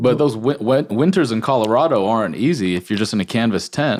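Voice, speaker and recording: Pitched fairly low, a man speaks in a plain, everyday voice with ordinary pitch variation. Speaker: podcast host. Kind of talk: podcast interview.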